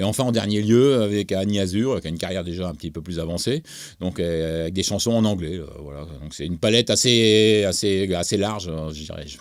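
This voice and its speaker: In a very clean recording with a silent background, a man with a very deep, low voice talks at a fairly quick pace with ordinary pitch variation. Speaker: music producer and songwriter. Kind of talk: interview. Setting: studio. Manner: halting, many hesitations.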